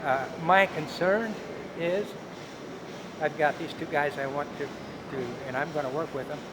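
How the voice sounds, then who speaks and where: Fairly slow speech with ordinary pitch variation, long, frequent pauses and noticeable background noise. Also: man, fairly high pitch for a man. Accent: American. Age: 70s. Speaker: retired volunteer builder. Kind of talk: casual interview.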